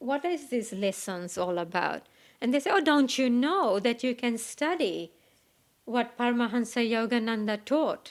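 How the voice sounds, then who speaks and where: Speaking in a high pitch with lively intonation, a woman with a non-native accent keeps her loudness very even. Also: moderate pace, very clean recording, silent background. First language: not English. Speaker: meditation teacher. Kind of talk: spiritual talk. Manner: hesitant, with frequent fillers.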